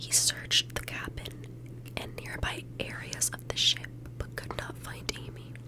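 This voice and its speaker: Over noticeable background noise, a woman with a very deep, low pitch speaks in a calm tone at a fairly slow pace, her intonation monotone and flat. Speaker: ASMR true crime narrator. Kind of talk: true crime ASMR narration. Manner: soft-spoken, calm, whispery.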